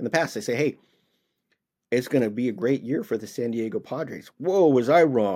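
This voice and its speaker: Here is a man with an American accent and a normal speaking voice. He speaks at a fairly quick pace and medium pitch, with ordinary pitch variation. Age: 50s. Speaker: podcast host, former highway patrol officer. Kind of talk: solo casual monologue.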